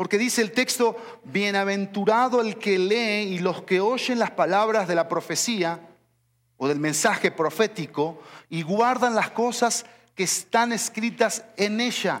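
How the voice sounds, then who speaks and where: Animated in tone, a man with a high pitch speaks at a fairly slow pace with ordinary pitch variation. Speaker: pastor. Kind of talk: sermon. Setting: church. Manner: animated, emphatic preaching, driving each point home with repetition; didactic, teacherly.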